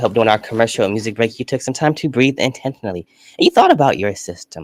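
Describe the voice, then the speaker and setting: A man at a very fast pace, recorded dry and close with no echo. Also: medium pitch for a man, ordinary pitch variation. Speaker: live stream show host. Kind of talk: live studio talk show monologue. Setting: studio. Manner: animated.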